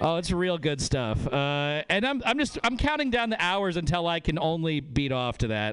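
A man talks at a moderate pace with lively intonation. Noticeable background noise runs under his voice. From northern Nevada. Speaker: comedian. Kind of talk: stand-up.

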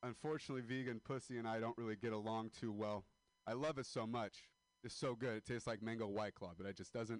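At a fairly quick pace, this man talks with fairly even intonation. He has a plain, everyday voice pitched in the medium range. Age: 20s. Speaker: comedian. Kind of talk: stand-up. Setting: stage with audience.

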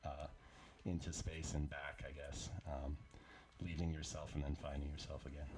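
A man with a very deep, low pitch speaks at a moderate pace with vocal fry. He leaves long, frequent pauses. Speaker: musician in a band. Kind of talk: casual radio interview. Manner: animated, playful.

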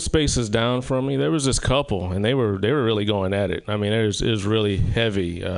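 This man talks with a Southern US accent. His pace is moderate. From South Carolina. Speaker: comedian. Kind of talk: stand-up. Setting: stage with audience.

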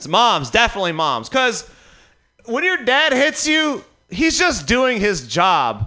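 A man speaks fairly slowly in a raised, projected voice at extremely high pitch. His pitch swings very widely. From Detroit, US Midwest. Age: 30s. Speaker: stand-up comedian. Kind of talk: stand-up. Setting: stage with audience.

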